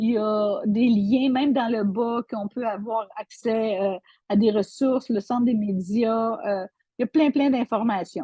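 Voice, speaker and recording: A woman talks at a fairly slow pace in a fairly high pitch. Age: 60s. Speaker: online seller. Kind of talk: product tutorial. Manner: halting, many repetitions and fillers.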